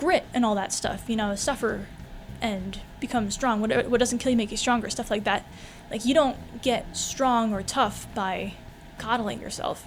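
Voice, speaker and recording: A woman talks at a moderate pace with vocal fry and ordinary pitch variation. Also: fairly high pitch for a woman. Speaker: vlogger. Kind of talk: casual vlog monologue.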